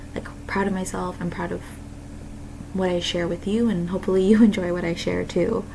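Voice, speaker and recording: Speaking at a fairly quick pace, a woman with a medium pitch is heard over noticeable background noise and audible room echo. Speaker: artist vlogger. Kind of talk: casual chat. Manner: hesitant, filler words.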